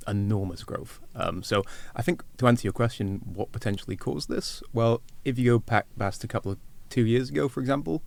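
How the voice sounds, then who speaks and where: Fairly low in pitch, a man speaks at a fairly quick pace with a Welsh accent. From Wales. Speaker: agricultural market analyst. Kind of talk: podcast interview.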